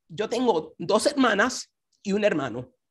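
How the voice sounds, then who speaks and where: At a fairly slow pace, a woman speaks with lively intonation against a quiet background. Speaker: conference speaker. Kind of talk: devotional talk. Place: home room. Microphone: video call.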